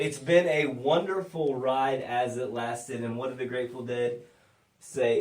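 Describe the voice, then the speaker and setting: Noticeable background noise and audible room echo surround a man speaking at a medium pitch with ordinary pitch variation. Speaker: podcast host. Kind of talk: casual chat. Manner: slurred.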